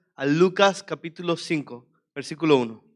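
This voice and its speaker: Speech in a Venezuelan accent moves at a moderate pace with ordinary pitch variation. The background is quiet. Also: man. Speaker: preacher. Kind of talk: sermon.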